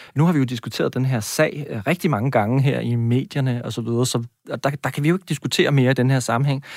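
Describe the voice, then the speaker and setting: In a very clean, dry, close recording with a silent background and no echo, a man at a medium pitch with ordinary variation talks very fast with hardly any pauses. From Denmark, Næstved (South Zealand). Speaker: university lecturer, education researcher. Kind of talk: radio interview. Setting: radio studio.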